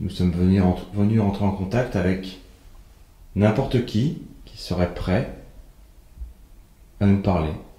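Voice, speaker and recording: Soft-spoken and somewhat breathy, a man with a fairly low voice and a dark, mellow tone talks at a very slow pace with long, frequent pauses, his words carrying audible room echo. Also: ordinary pitch variation, big swings in loudness. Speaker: paranormal investigator. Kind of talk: solo ghost-hunting walkthrough. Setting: abandoned hospital at night.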